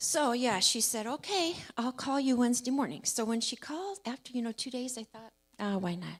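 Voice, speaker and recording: A woman speaks with a normal speaking voice at a moderate pace. Her intonation is lively. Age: 60s. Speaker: church member sharing testimony. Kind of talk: testimony. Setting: church service. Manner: casual storytelling.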